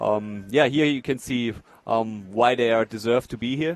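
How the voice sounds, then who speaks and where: A man with a German accent talks at a moderate pace. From Germany. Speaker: wheelchair rugby player and expert commentator. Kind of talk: live commentary. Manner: hesitant, many fillers.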